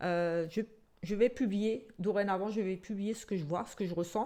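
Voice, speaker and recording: A strong Alsatian accent with a dark, mellow tone at a fairly slow pace. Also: woman. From Alsace, France (Portuguese descent). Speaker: psychic tarot reader. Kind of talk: casual self-introduction to camera. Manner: hesitant, many fillers.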